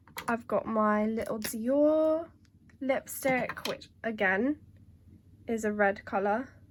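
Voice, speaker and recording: Ordinary pitch variation in very slow speech broken by long, frequent pauses. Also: woman, fairly high pitch for a woman. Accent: British. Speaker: beauty vlogger. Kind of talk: casual product show-and-tell.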